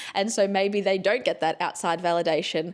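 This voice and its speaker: With an Australian accent, a woman speaks at a medium pitch in an animated tone. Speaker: podcast host, former journalist. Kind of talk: casual chat.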